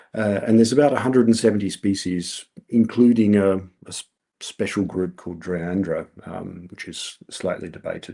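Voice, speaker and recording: With an Australian accent, a man talks at a moderate pace in a fairly low pitch, his dark, mellow tone showing ordinary pitch variation and big swings in loudness over a quiet background. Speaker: researcher. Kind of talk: lecture. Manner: halting, many fillers.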